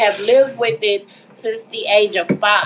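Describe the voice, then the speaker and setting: A woman's speech is accompanied by noticeable background noise. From Texas, Dallas. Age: 30s. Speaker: mental health advocate, livestream host. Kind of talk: casual livestream talk. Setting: livestream while cooking at home. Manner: casual, informal.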